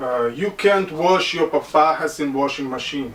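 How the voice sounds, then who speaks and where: With a Russian accent and lively intonation, a man speaks over noticeable background noise. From Caucasus. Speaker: online hat seller. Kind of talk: product tutorial. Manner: halting, many fillers.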